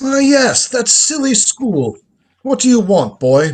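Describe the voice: Putting on a character voice, a man talks slowly at an extremely high pitch with big pitch swings.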